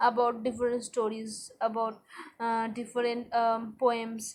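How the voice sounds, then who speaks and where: A woman speaks with a Bengali accent at a fairly slow pace. Her pitch is high. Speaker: English language learner vlogger. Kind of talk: spoken practice monologue. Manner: halting, many fillers and repetitions.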